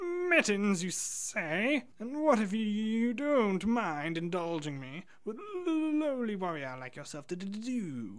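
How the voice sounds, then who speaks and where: A put-on character voice sits at a fairly high pitch with very wide pitch swings. It moves at a fairly slow pace with hardly any pauses. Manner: affected, theatrical.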